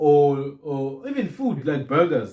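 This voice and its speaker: With lively intonation and a fairly high pitch, a man's voice comes across as somewhat breathy. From southern Africa. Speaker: podcast host on African languages. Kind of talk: casual chat. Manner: repetitive stammering restarts.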